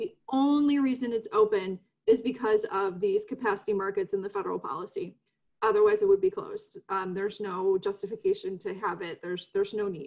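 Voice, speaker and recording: A fairly quick-paced woman's voice over a quiet background. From US Midwest, DuPage County, Illinois; Illinois. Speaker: environmental advocacy executive director; panelist. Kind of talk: panel discussion. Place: home room. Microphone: webcam.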